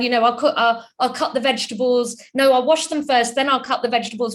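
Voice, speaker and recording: A woman speaks with a British accent. Her pitch is high. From UK. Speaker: chartered accountant and entrepreneur, webinar speaker. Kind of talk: webinar talk.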